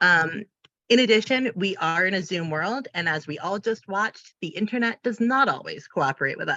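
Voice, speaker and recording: Lively intonation and a moderate pace from a woman, her pitch medium, an unremarkable speaking voice. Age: 30s. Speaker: independent facilitator and trainer. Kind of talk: online training presentation. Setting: video call.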